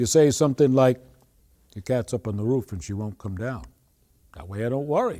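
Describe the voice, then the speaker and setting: A man with a Maine accent, a dark, mellow tone and a moderate pace. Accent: Maine Yankee. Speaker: storyteller, humorist. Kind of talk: humorous folk story telling.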